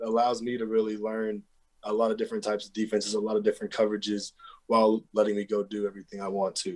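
Rushing at a very fast pace, a man with an American accent keeps a monotone, flat intonation. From Texas. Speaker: college football player. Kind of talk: interview.

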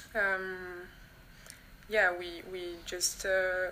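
A woman speaks at a medium pitch with a French accent. Noticeable background noise runs behind her. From France. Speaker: van converter interviewee. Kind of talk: interview. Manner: halting.

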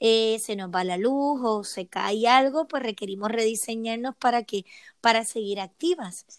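At a moderate pace, a woman talks in a high voice on a very clean recording with a silent background, the sound dry and close with no echo. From Puerto Rico. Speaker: emotional wellbeing coach. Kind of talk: interview.

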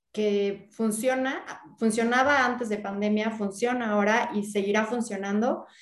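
A woman with a normal speaking voice talks at a fairly slow pace, her fairly high pitch carrying fairly even intonation. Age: 30s. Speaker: real estate entrepreneur and content creator. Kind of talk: interview.

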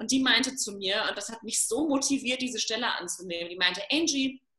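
Moving at a fairly quick pace, a woman talks with very wide pitch swings. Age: 30s. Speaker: self-love coach. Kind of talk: casual interview.

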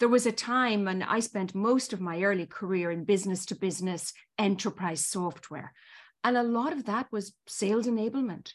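A woman with an Irish accent at medium pitch, moderate pace and ordinary pitch variation, in a very clean recording with a silent background. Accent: Irish, still noticeable. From Ireland. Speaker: marketing executive. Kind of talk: interview. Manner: formal.

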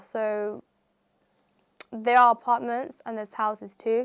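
A woman with a West Midlands accent speaks at a fairly slow pace, her pitch fairly high. Her intonation stays fairly even. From England, Coventry. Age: 20s. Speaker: property entrepreneur. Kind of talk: interview. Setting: studio.

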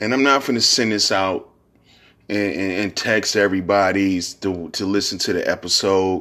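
An American-accented man speaks at a moderate pace with a low pitch and a bright, sharp tone, his intonation fairly even. The recording is very clean, with a silent background.

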